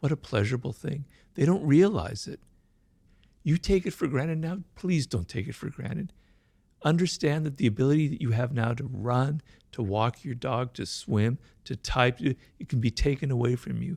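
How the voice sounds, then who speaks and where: At a moderate pace, a man speaks somewhat breathily in a dry, close sound with no echo. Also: medium pitch for a man, lively intonation. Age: 60s. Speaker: writer, stroke survivor. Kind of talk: interview testimony. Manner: halting, with repetitions.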